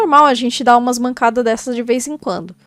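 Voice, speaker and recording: A woman speaks with music in the background. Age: 20s. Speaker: YouTuber and cosplayer. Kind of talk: casual vlog monologue.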